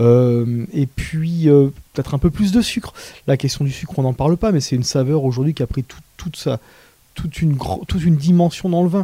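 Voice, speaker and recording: A man's fairly high, somewhat breathy voice with a dark, mellow tone, ordinary pitch variation, and a moderate pace. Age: 40s. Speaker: wine shop owner. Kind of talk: interview. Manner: halting.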